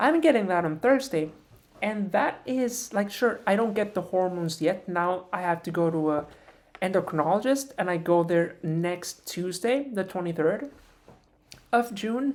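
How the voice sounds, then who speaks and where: Moderately paced, the speech carries lively intonation. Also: woman, medium pitch for a woman. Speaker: vlogger. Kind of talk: personal vlog monologue. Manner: halting; trained higher-pitched voice.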